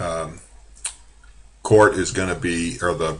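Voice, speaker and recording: A man with fairly even intonation amid audible room echo. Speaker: college drafting instructor. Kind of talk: screen-recorded software tutorial. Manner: casual with many fillers.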